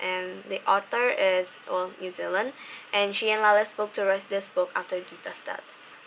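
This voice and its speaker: Over noticeable background noise, a woman talks at a fairly slow pace with a medium pitch and monotone, flat intonation. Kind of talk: book review talk to camera. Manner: monotonous.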